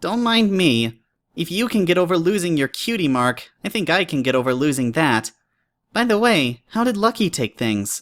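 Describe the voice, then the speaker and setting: On a very clean recording with a silent background, a put-on character voice at a middle pitch moves through very wide pitch swings at a moderate pace. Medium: read story. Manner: friendly, wry.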